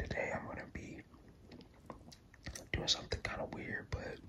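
Whispering at a fairly quick pace. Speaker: ASMR creator. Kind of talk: ASMR casual talk while drawing. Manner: whispered. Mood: shy, self-deprecating. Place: home room. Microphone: phone near.

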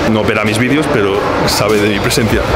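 Music runs underneath. The speaker is a man. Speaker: food vlogger. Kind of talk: casual vlog chat. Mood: light, slightly ironic. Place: cafe. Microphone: phone near.

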